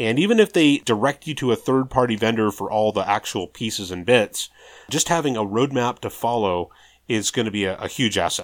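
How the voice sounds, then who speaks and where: A man with an American accent speaks in an unremarkable speaking voice at a moderate pace, medium pitch, and ordinary pitch variation. The recording is very clean with a silent background and a dry, close sound with no echo. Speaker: podcast host, kit aircraft builder and pilot. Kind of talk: casual chat.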